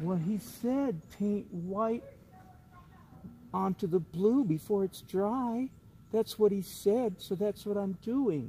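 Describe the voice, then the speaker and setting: A man puts on a high-pitched, sing-song character voice at a very slow pace. Long, frequent pauses break it up, and background noise is clearly audible. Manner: mocking, sing-song.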